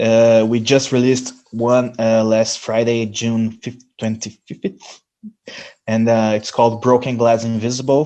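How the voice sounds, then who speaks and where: With a Brazilian Portuguese accent, a man speaks fairly slowly in a dark, mellow, medium-pitched voice with monotone, flat intonation. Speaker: metal band musician. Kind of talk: interview. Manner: halting, many fillers and restarts.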